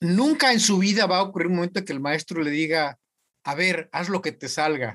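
At a moderate pace, a man with a high pitch speaks using lively intonation. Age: 60s. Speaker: university professor. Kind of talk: casual chat.

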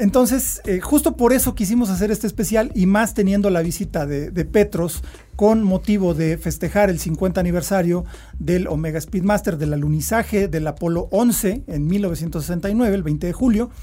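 Amid noticeable background noise, a man with a high pitch talks at a fairly quick pace with ordinary pitch variation. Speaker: podcast host. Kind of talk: interview.

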